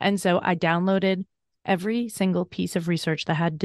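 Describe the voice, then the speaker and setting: A woman talks at a fairly quick pace in an unremarkable speaking voice with fairly even intonation. The sound is dry and close with no echo, over a quiet background. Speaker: burnout coach and author. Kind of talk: interview conversation.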